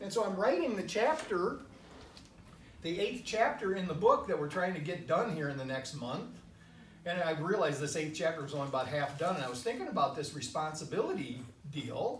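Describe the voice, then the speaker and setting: This man's high-pitched voice moves with lively intonation, heard through audible room echo and noticeable background noise. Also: fairly quick pace. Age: 60s. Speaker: minister. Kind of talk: sermon.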